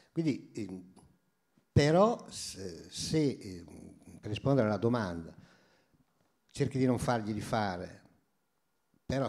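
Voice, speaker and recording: At a very slow pace, a man with a medium pitch and lively intonation speaks with long, frequent pauses. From Romagna, Italy. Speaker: former mayor and teacher. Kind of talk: casual chat. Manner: animated.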